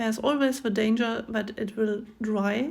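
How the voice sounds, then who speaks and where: The speaker talks with a German accent at a very slow pace. The voice is somewhat breathy. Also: woman. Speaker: craft video creator. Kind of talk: tutorial. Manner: halting with many fillers.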